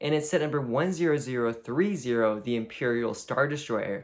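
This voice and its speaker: A man's voice with ordinary pitch variation. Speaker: YouTuber ranking toy sets. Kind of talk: casual video commentary. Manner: fast; filler-heavy casual speech.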